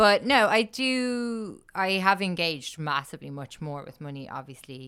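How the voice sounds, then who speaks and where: With an Irish accent, a woman speaks at a moderate pace in a bright, sharp, medium-pitched voice with very wide pitch swings and big swings in loudness, on a very clean recording with a silent background. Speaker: podcast host. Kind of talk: casual chat. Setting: studio.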